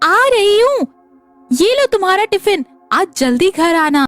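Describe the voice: A woman performs a cartoonish character voice at an extremely high pitch with very wide pitch swings. She keeps a moderate pace, with faint music in the background.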